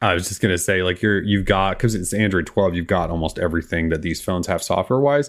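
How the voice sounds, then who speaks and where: With an American accent, this man talks at a very fast pace with hardly any pauses, his very deep, low pitch showing ordinary pitch variation. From US Midwest. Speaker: tech podcast host. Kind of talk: casual chat. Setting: live stream.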